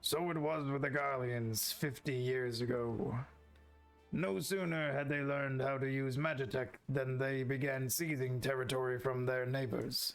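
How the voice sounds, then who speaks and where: A put-on character voice at a moderate pace, very even in loudness, with fairly even intonation and faint music in the background. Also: man, medium pitch for a man. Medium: game stream. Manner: gruff, blunt, archaic phrasing.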